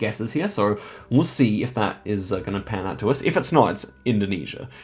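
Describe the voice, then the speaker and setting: Over music in the background, the speaker talks at a fairly quick pace. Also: man. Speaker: gaming YouTuber. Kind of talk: live gameplay commentary. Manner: fast.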